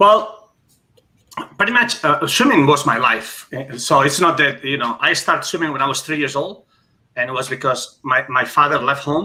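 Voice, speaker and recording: A man's bright, sharp tone with lively intonation. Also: fairly high pitch for a man, moderate pace. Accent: Spanish. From Spain, Barcelona (Catalonia). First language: Spanish. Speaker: former Olympic swimmer. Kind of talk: casual interview.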